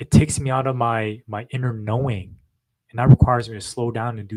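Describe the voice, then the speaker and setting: Somewhat breathy in voice, a man talks at a fairly quick pace. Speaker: podcast co-host. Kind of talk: casual chat. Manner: fast when excited.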